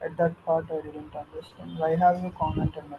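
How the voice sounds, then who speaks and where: Over noticeable background noise, a man with a fairly high pitch speaks in a flat, monotone way. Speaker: workshop student. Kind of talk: classroom question. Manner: quiet.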